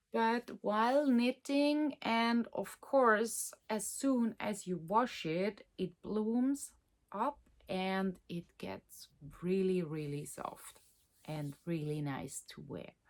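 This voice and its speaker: A woman with a Swiss German accent talks very slowly, her pitch swinging very widely. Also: medium pitch for a woman, big swings in loudness. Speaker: knitting podcaster and designer. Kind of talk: casual chat. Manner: halting, many fillers.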